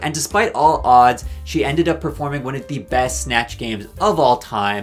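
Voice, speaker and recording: Music plays in the background as a man of medium pitch talks at a moderate pace, his pitch swinging very widely. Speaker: drag race commentary youtuber. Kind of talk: casual commentary to camera.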